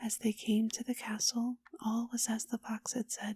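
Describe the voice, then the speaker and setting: Soft-spoken and somewhat breathy, a woman talks in a gentle tone at a fairly high pitch and a fairly slow pace. Her intonation is monotone and flat, with a dry, close sound and no echo. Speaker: ASMR storyteller. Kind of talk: bedtime story reading. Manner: soft-spoken, gentle, calming.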